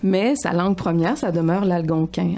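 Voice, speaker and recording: At a fairly slow pace, a woman speaks in a fairly low pitch. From Quebec. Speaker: author. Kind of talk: radio interview.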